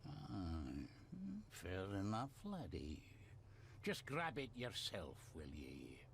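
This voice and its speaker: A man puts on a character voice with a very deep, low pitch over clear background noise. He talks very slowly, with long, frequent pauses. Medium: video game. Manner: gruff, terse.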